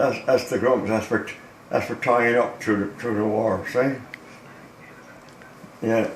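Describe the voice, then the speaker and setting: With noticeable background noise, a man of medium pitch speaks at a fairly slow pace in a monotone, flat intonation with long, frequent pauses. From Newfoundland, Canada. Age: 80s+. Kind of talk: casual talk showing a model boat. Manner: alert.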